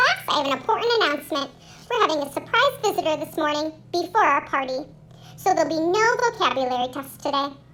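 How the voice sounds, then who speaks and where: A woman's squeaky, high-pitched put-on character voice, very fast, with lively intonation and clear background noise. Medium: read story.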